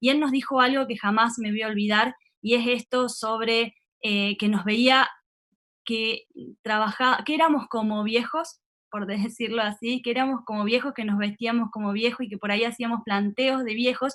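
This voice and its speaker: A woman talks in an ordinary speaking voice, fairly high in pitch. Her pace is moderate and her intonation fairly even. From Argentina, San Luis province. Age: 30s. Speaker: politician. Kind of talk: webinar talk.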